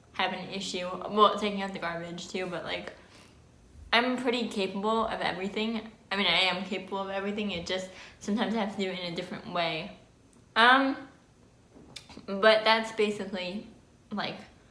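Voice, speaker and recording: The speech runs at a fairly quick pace with long, frequent pauses and fairly even intonation, and audible room echo. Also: woman, medium pitch for a woman. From New Jersey, US. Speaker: vlogger. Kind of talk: casual vlog talk. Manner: slightly slurred speech with pauses.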